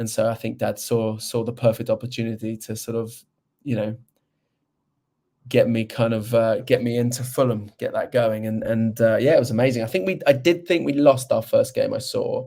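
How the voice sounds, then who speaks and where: A man's voice at medium pitch, with a dark, mellow tone and ordinary pitch variation. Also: moderate pace. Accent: London. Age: 40s. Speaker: presenter and football fan. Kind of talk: podcast interview. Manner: halting.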